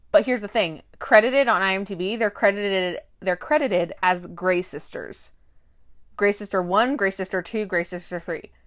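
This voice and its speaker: The recording is very clean, with a silent background. A woman speaks at a medium pitch and a moderate pace, with ordinary pitch variation. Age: 20s. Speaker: podcast co-host. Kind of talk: casual chat. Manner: hesitant, many fillers.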